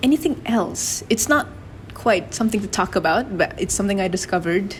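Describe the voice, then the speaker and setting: Over noticeable background noise, a woman at medium pitch talks at a fairly quick pace with lively intonation. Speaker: podcast co-host. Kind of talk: casual chat.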